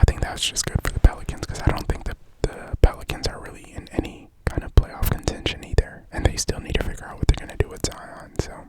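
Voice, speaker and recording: Someone whispers at a very fast pace with hardly any pauses. Background noise is noticeable. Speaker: ASMR creator. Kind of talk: ASMR sports ramble. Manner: whispered.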